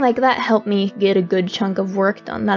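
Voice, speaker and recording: A woman speaks quietly at a moderate pace, with music in the background. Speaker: webcomic artist. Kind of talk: casual talk to camera. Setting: home, background noise.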